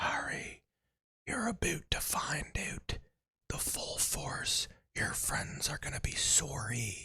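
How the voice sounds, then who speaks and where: Putting on a raspy character voice, a man speaks at a very slow pace. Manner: menacing.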